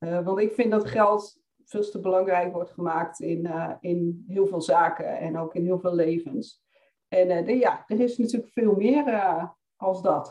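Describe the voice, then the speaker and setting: A woman's dark, mellow tone at a very slow pace. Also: medium pitch for a woman, ordinary pitch variation. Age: 30s. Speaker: financial coach for women entrepreneurs. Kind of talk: podcast interview.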